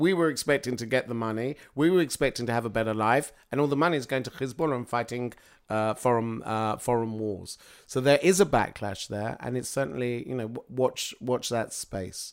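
This man has a British accent and a medium pitch. He talks at a fairly quick pace with ordinary pitch variation. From Britain. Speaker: public speaker on Middle East politics. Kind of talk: interview. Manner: halting, many fillers.

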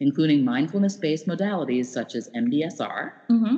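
A woman talks at a fairly quick pace with a very deep, low pitch and a dark, mellow tone. Her pitch swings very widely. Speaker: podcast co-host. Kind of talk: casual interview.

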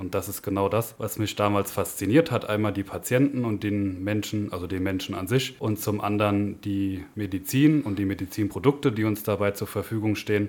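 Speaking at a fairly quick pace, a man uses a normal speaking voice pitched fairly low. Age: 20s. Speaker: anesthesia technical assistant. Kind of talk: podcast interview.

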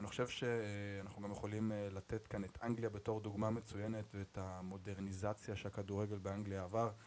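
Speaking at a moderate pace with hardly any pauses, a man keeps a monotone, flat intonation. His pitch is fairly low. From Israel, Arad. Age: 30s. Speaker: podcast host. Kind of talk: casual chat.

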